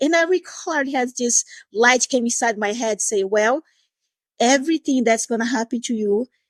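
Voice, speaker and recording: In a Portuguese accent, a woman with fairly high pitch and lively intonation speaks at a moderate pace, the sound dry and close with no echo. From Brazil, Recife. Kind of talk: podcast interview.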